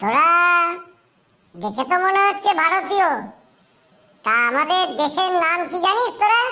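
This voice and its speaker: A woman does a squeaky, cartoonish character voice at an extremely high pitch, raised and projected. She keeps a moderate pace with lively intonation. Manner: brisk, impatient.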